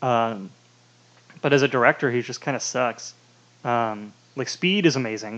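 A man at medium pitch and moderate pace, ordinary pitch variation, with long, frequent pauses. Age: 20s. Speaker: podcast co-host. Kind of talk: casual chat.

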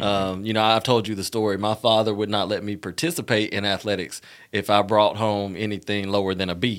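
In a very clean recording with a silent background, a man with an Alabama accent talks at a fairly quick pace, his fairly low voice bright and sharp in tone, with ordinary pitch variation. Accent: US Southern, Alabama. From Montgomery, Alabama. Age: 30s. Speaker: former co-host, professional. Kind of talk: casual interview chat.

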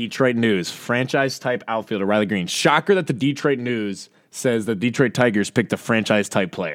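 In a very clean recording with a silent background, a man with an ordinary speaking voice talks at a moderate pace with hardly any pauses. His pitch is medium and his intonation lively. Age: 20s. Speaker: podcast co-host. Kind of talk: casual chat.

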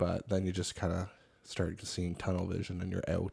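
A man with a Cape Breton accent and a dark, mellow tone at a fairly quick pace, in a very clean recording with a silent background. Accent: Cape Breton Canadian English. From Cape Breton, Nova Scotia. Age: 30s. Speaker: podcast co-host. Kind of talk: casual chat.

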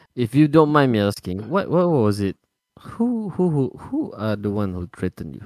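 A man with a Malaysian accent talks at a moderate pace and medium pitch, with very wide pitch swings and big swings in loudness. The recording is very clean with a silent background, the sound dry and close with no echo. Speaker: podcast co-host. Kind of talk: casual chat.

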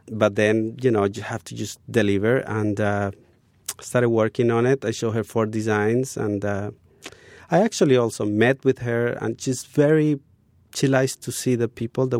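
A man with a Spanish accent at medium pitch and moderate pace, fairly even intonation, in a dry, close sound with no echo. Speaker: graphic designer. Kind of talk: interview.

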